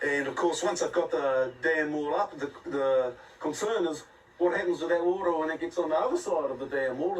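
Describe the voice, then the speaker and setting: Over noticeable background noise, a man with a high voice talks at a fairly quick pace. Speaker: environmental campaigner. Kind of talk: interview on location.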